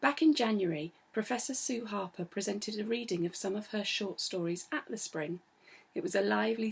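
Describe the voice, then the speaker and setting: A somewhat breathy woman at a fairly quick pace, with ordinary pitch variation. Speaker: arts centre director. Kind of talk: event introduction.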